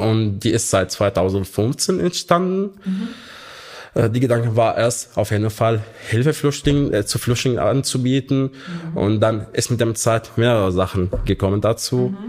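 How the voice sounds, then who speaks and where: Speaking fairly slowly with an Arabic accent, a man keeps a medium pitch and very even loudness, with lively intonation. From Syria, Hama. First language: Arabic (speaking German). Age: 20s. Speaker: refugee aid volunteer coordinator. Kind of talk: interview. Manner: halting.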